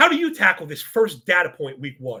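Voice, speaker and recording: In an American accent, a raised, projected voice with a bright, sharp tone and an animated delivery moves at a fairly quick pace through very wide pitch swings, recorded very cleanly against a silent background. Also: man. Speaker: fill-in podcast host. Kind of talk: casual chat.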